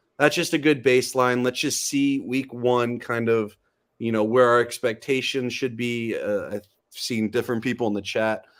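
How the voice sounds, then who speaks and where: A man of medium pitch speaks with fairly even intonation on a very clean recording with a silent background. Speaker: football fan guest. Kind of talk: casual chat.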